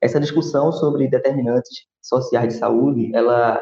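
Here a man speaks at a moderate pace. His tone is dark and mellow, and somewhat breathy. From Brazil, Recife (Pernambuco). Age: 20s. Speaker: physical education professional and public health specialist. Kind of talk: interview conversation.

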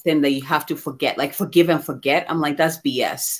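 A woman with a very deep, low pitch, in a very clean recording with a silent background. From Ghana. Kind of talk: casual interview.

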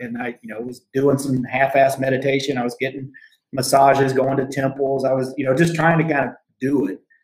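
A man's somewhat breathy, medium-pitched voice with an American accent, monotone and flat in intonation, at a fairly quick pace. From US Midwest/South (Southern Indiana, Arkansas). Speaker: mindfulness and performance coach, military veteran. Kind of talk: casual interview chat.

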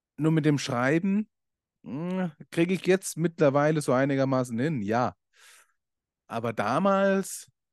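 A man talks with lively intonation against a quiet background, the sound dry and close with no echo. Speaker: podcast host and coach. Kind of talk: casual monologue.

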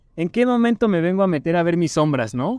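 A man speaks at a fairly quick pace with a high pitch. His intonation is lively. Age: 20s. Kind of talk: casual chat.

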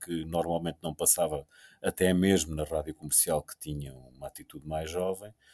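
A man with a European Portuguese accent, dark and mellow in tone, in a dry, close recording with no echo, very clean against a silent background. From Portugal. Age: 50s. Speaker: radio host. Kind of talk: casual chat. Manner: halting.

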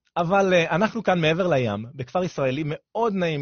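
A man talks in an animated tone. His voice is somewhat breathy. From Israel, southern coastal area. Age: 30s. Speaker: radio host and fitness coach. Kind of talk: radio talk show monologue.

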